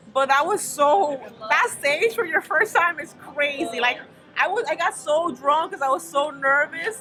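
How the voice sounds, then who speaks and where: Projecting her voice over music in the background, a woman with a Spanish accent sounds animated, speaking high in pitch with lively intonation at a fairly slow pace. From Dominican Republic. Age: 30s. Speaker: stand-up comedian. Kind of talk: casual interview chat.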